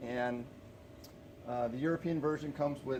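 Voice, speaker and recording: A man mumbles with fairly even intonation over noticeable background noise. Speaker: small business owner. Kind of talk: casual vlog monologue. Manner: mumbling; halting, many fillers.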